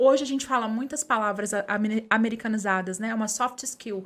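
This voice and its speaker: A woman speaks with a fairly high pitch at a moderate pace. She has a normal speaking voice with ordinary pitch variation. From Minas Gerais, Brazil (Conceição das Alagoas). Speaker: journalist and communicator. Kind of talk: podcast interview.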